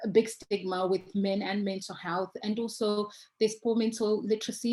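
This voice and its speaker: Somewhat breathy and fairly high in pitch, a woman talks at a moderate pace with fairly even intonation. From Zimbabwe. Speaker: mental health charity founder. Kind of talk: conference presentation. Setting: video call.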